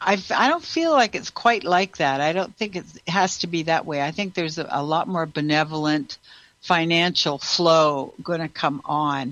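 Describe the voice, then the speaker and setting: A woman with a plain, everyday voice speaks at a moderate pace, her fairly low pitch showing ordinary variation. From Canada. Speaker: radio host and intuitive healer. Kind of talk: call-in show chat. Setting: radio studio with phone and Zoom callers.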